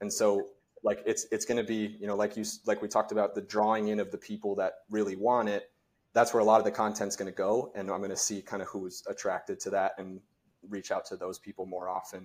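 A man talks at a very fast pace in an American accent. The recording is very clean, with a silent background. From US rural farm country. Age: 30s. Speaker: mortgage professional and mindset speaker. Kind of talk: casual interview chat.

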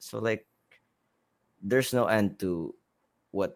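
The speaker talks at a fairly slow pace with a Visayan Filipino accent. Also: man. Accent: Filipino (Cebuano) English. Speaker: musician and producer. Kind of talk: casual chat.

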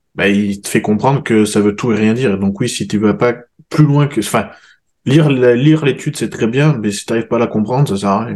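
A man speaks with a normal speaking voice at a medium pitch. His pitch variation is ordinary. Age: 30s. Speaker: podcast host and fitness coach. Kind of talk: casual chat; sponsor plug.

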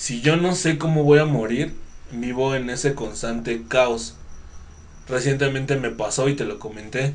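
A man speaks very slowly in a Mexican accent, his pitch medium with ordinary variation. Audible echo fills the room. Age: 30s. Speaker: podcast host. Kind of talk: casual interview.

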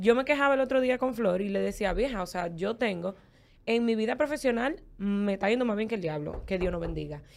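A woman with an ordinary speaking voice talks at a fairly quick pace. Her pitch is fairly high, with lively intonation. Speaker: former podcast co-host. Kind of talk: casual chat.

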